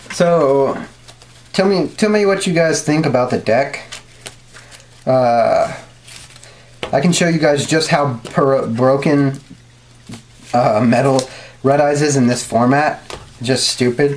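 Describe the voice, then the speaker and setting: Delivery is very slow, with long, frequent pauses. Noticeable background noise is present. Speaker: card game YouTuber. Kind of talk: tutorial. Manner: casual, filler-heavy.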